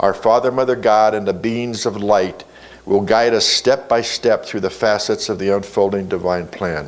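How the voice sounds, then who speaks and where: A man with an unremarkable speaking voice, fairly low in pitch, fairly even in intonation, at a moderate pace. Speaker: spiritual teacher. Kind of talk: sermon.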